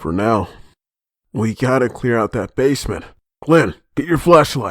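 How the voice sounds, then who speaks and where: Using a put-on, raspy character voice, a man talks at a moderate pace and medium pitch with lively intonation. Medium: audio drama. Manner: commanding.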